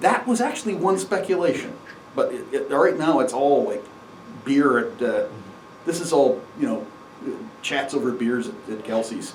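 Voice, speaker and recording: With long, frequent pauses, a man speaks at a moderate pace in a high pitch with very wide pitch swings, over noticeable background noise and audible room echo. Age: 60s. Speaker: amateur astronomy presenter. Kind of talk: lecture. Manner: halting.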